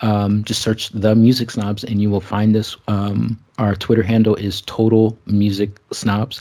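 Spoken in a flat monotone with an American accent, the words come at a fairly slow pace with hardly any pauses. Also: man, fairly low pitch for a man. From US West Coast, San Francisco Bay Area. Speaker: music podcast host. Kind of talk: casual chat. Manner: halting, many fillers.

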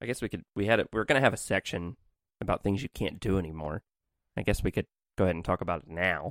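Very fast speech from a man with a very deep, low pitch and ordinary pitch variation. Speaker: podcast co-host. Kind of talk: casual chat.

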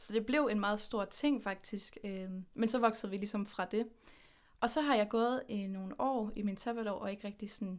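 A woman's fairly high-pitched, an unremarkable speaking voice, moderate in pace with fairly even intonation, in a very clean recording with a silent background. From Denmark, Horsens. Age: 20s. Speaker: podcast guest. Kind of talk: casual interview.

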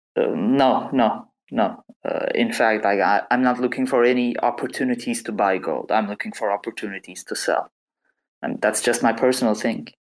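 A non-native accent at a moderate pace. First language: not English. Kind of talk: casual chat. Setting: online audio room.

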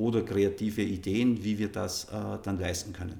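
Somewhat breathy, a man speaks with a fairly low pitch and ordinary pitch variation. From Upper Austria, Innviertel. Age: 50s. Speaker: football association executive. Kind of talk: interview.

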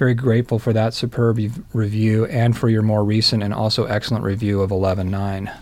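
Speaking in an American accent at a moderate pace, a man keeps a fairly low pitch, a flat monotone and very even loudness. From US East Coast. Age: 50s. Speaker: singer-songwriter. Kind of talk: interview answers read from prepared text.

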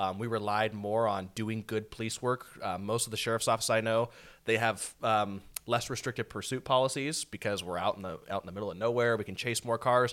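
In a very clean recording with a silent background, a man speaks with an American accent at a fairly quick pace. He has an unremarkable speaking voice at a medium pitch. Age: 20s. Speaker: county sheriff. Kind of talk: casual chat.

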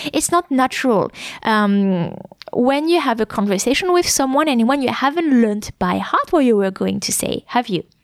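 With a French accent, a woman talks at a moderate pace using lively intonation, the sound dry and close with no echo. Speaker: French teacher and podcast host. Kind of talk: educational podcast monologue. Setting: podcast recording. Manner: clear and concise; hesitant with fillers.

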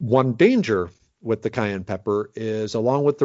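A man with an American accent has an unremarkable speaking voice. He talks at a moderate pace with lively intonation. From Minnesota. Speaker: forager and medicinal plant expert. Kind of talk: interview conversation.

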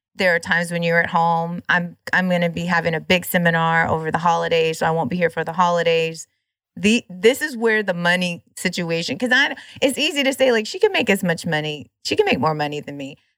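Over a silent background in a very clean recording, a woman with an unremarkable speaking voice talks at a fairly quick pace, her fairly low pitch showing ordinary variation. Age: 40s. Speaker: podcast host. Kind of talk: casual interview chat.

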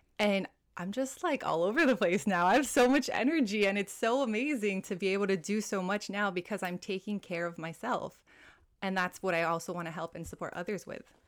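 A woman with a Hawaiian accent talks at a fairly quick pace with lively intonation. The recording is very clean, with a silent background. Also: medium pitch for a woman. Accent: American (Hawaii). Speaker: well-being coach. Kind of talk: casual interview chat.

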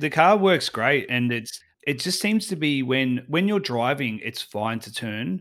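A man with a fairly high voice talks at a fairly slow pace with hardly any pauses, his pitch swinging very widely and his loudness shifting a lot. The recording is very clean, with a silent background. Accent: Australian. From Australia. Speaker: travel blogger and podcaster. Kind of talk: casual interview.

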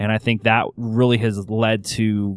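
A man's fairly low, monotone voice with flat intonation, on a very clean recording with a silent background. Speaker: podcast host and strengths coach. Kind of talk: podcast interview. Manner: radio announcer style.

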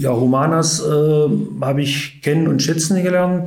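Amid audible room echo, a man with a fairly high voice speaks in fairly even intonation. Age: 50s. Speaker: sports club chairman. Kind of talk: casual interview. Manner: hesitant, many fillers.

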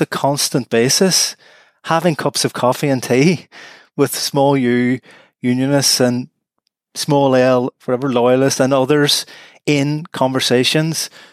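In a Northern Irish accent, a man speaks at a very slow pace. The sound is dry and close, with no echo. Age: 50s. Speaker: law professor. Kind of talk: interview.

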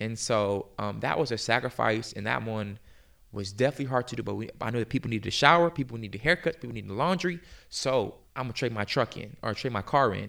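A very fast-talking man with an American accent, medium pitch, vocal fry and ordinary pitch variation. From US South, Virginia (Hampton Roads). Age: 20s. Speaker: nonprofit founder. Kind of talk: interview testimony.

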